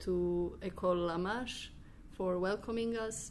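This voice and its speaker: Audible room echo surrounds a woman as she talks at a fairly slow pace. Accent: Croatian. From Croatia. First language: Croatian. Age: 20s. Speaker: exchange student. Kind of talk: group interview.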